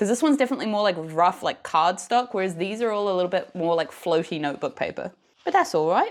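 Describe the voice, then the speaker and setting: In a British accent, a woman talks at a fairly quick pace. The recording is very clean, the background silent. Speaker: craft vlogger. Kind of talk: casual vlog narration.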